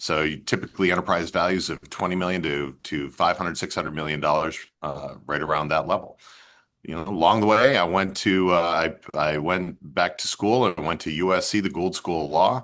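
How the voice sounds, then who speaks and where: A man's very deep, low voice at a fairly quick pace, with ordinary pitch variation. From upstate New York. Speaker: investment banker. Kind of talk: panel discussion. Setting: video call.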